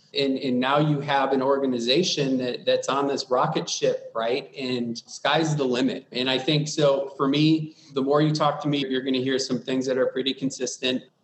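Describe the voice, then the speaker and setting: This man speaks at a moderate pace in a fairly high pitch, with hardly any pauses, a monotone, flat intonation and noticeable background noise. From US Midwest, Wisconsin. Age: 40s. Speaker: public sector IT executive. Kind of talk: interview.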